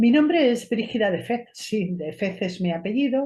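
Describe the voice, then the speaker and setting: A woman with a Spanish accent speaks with lively intonation in a somewhat breathy voice. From Spain, Cuenca countryside. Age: 50s. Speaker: esoteric therapist and show host. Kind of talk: personal monologue to camera.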